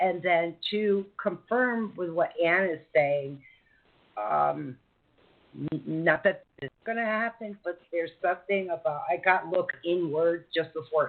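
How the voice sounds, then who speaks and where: This woman has an ordinary speaking voice with an American accent. Her pitch sits fairly low. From United States. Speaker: radio host and psychic reader. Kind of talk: live call-in mini-reading.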